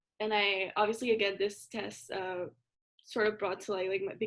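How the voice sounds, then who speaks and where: The speaker is a woman with a Spanish accent. She talks at a moderate pace. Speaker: college student show host. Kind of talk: casual chat.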